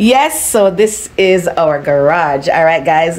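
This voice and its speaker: A woman with an ordinary speaking voice talks at a fairly low pitch with ordinary pitch variation. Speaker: home vlogger. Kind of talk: casual vlog chat. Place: garage. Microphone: phone near.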